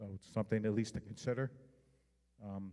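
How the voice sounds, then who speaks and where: Delivered at a fairly quick pace, the voice has a dark, mellow tone and a slight New York accent. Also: man. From New York City, Manhattan. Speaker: homeland security outreach official. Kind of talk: public presentation.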